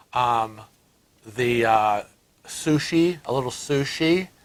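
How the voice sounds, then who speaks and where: A man with an American accent and ordinary pitch variation. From US Northeast (Rochester, New York). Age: 60s. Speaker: cruise vlogger. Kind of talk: casual chat.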